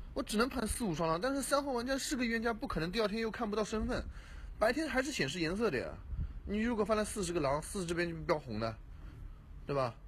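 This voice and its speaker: Against light background noise, a man talks at a very fast pace with lively intonation. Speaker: werewolf game player; game streamer. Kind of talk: game discussion. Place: home room. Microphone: studio mic.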